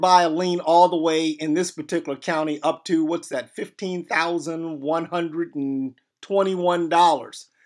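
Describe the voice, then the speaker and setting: Speaking at a fairly slow pace, a man with a high-pitched voice keeps his intonation fairly even on a very clean recording with a silent background. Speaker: tax lien investor teaching online. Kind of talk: screen-share tutorial. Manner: hesitant with repeated words.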